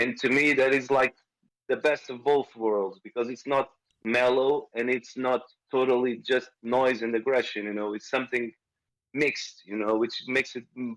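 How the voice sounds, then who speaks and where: A man with a Portuguese accent and fairly even intonation. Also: medium pitch for a man, moderate pace. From Portugal, rural village near small city. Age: 40s. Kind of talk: interview. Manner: halting.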